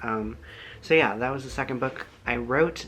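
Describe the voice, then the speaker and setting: The speech comes at a moderate pace. There is noticeable background noise. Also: man. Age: 20s. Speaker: author. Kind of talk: casual chat. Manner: many filler ums.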